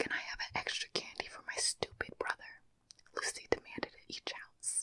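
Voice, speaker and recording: A woman whispers, soft-spoken. The sound is dry with no echo. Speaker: storyteller. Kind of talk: soft story reading, ASMR-style. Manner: soft close-mic whispered storytelling. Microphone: studio mic.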